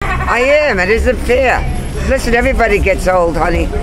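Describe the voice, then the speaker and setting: A woman's voice at a moderate pace over clear background music. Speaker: elderly tenant fighting eviction. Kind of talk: interview answer. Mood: aggrieved, indignant. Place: street.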